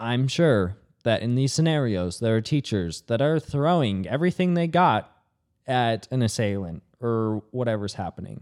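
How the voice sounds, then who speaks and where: Heard on a very clean recording with a silent background, a man has a normal speaking voice at a medium pitch. He talks at a moderate pace with lively intonation. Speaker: podcast co-host. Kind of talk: casual chat.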